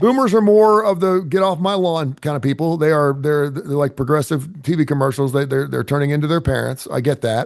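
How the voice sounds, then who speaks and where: A man with a fairly high pitch and a normal speaking voice talks at a fairly quick pace with ordinary pitch variation and hardly any pauses. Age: 60s. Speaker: radio host. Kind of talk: casual chat.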